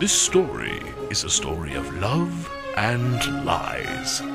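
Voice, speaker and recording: A man talking at a very slow pace, the sound dry with no echo, loud music in the background. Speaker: voice actor. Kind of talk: movie trailer. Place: studio.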